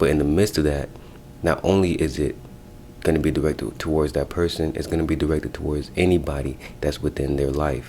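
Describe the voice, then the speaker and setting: Quiet and very deep, a man's low voice has a dark, mellow tone and vocal fry, moving at a fairly quick pace with fairly even intonation. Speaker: spiritual practitioner offering spell services. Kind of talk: casual advice video. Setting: office. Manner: quiet, talking low.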